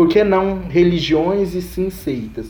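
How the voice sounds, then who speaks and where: Noticeable background noise mixes with audible room echo in this clip. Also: man. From Brazil, Goiás (Caldas). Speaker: master's student in communication. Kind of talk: casual chat.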